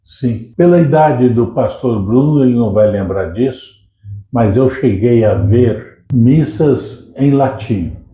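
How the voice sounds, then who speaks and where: A man's somewhat breathy voice at a medium pitch, very slow in pace, with ordinary pitch variation, very even loudness and audible room echo. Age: 70s. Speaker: pastor. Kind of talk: casual chat.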